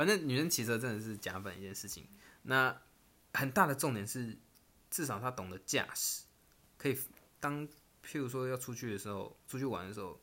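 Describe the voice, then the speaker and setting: A man with a medium pitch and a bright, sharp tone talks at a fairly quick pace with lively intonation, stopping for long, frequent pauses. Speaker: podcast co-host. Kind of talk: casual chat.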